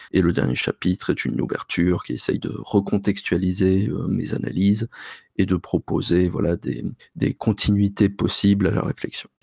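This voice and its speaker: Vocal fry runs through speech at a moderate pace with ordinary pitch variation, recorded dry and close with no echo. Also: man, fairly low pitch for a man. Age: 30s. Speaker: linguistics researcher and podcaster. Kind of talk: interview.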